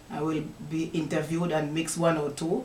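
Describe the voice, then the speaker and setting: A woman speaks with a Jamaican accent. Her pitch sits fairly low. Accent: Jamaican Patois. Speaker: poet. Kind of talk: casual talk to camera. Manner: upbeat.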